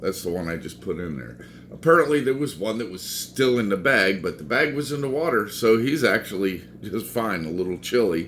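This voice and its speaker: Speaking at a moderate pace, a man shows vocal fry and very wide pitch swings amid audible room echo. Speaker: aquarium hobbyist vlogger. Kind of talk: casual vlog. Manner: animated.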